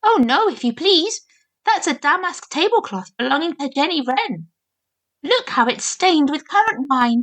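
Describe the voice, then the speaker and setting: Putting on a squeaky character voice, a woman speaks at a moderate pace in a high pitch, with very wide pitch swings. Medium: read story. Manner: polite, deferential, fussy.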